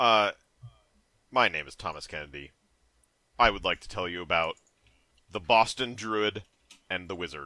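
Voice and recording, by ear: A man's put-on character voice, fairly low in pitch, at a moderate pace with long, frequent pauses.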